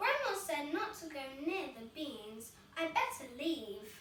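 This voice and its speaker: In a put-on character voice, a woman speaks at an extremely high pitch with very wide pitch swings, a fairly slow pace and slight echo. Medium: read story.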